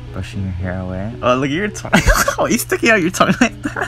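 With music in the background, a man speaks in a playful tone at a fairly quick pace, his pitch swinging very widely. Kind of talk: casual commentary voiceover. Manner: casual, playful.

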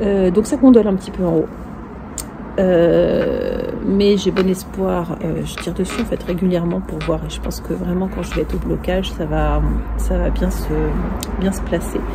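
Over noticeable background noise, a woman speaks at a moderate pace with long, frequent pauses. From northern France. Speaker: knitting podcaster. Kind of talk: casual chat. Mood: enthusiastic, pleased. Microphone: earbuds.

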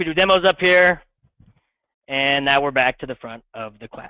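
In an unremarkable speaking voice, a man talks at a moderate pace with ordinary pitch variation and big swings in loudness. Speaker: middle school science teacher. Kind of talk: classroom lecture. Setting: classroom with students.

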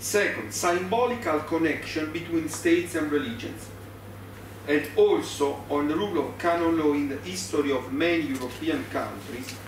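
A man with an Italian accent at a fairly high pitch and moderate pace, audible room echo, light background noise. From Italy. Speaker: law professor. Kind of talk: conference lecture. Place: meeting room. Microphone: podium.

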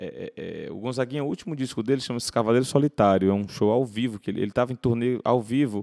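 In a dry, close sound with no echo, the speech runs at a fairly quick pace with ordinary pitch variation. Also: man, very clean recording, silent background. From Ceará, Brazil (Fortaleza). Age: 30s. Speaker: singer-songwriter. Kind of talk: interview conversation. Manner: repetitive hesitant fillers.

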